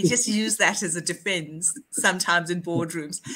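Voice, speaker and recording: With music in the background, a woman talks at a moderate pace in a fairly low voice, her pitch varying in an ordinary way. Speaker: podcast co-host. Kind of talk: interview conversation. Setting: video call. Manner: animated.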